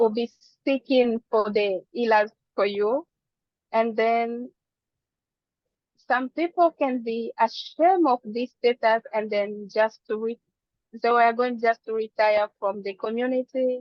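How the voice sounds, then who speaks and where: Speaking fairly slowly with a non-native accent, a woman uses a fairly high voice with ordinary pitch variation and long, frequent pauses. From Democratic Republic of the Congo. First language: not English. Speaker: physician. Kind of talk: presentation.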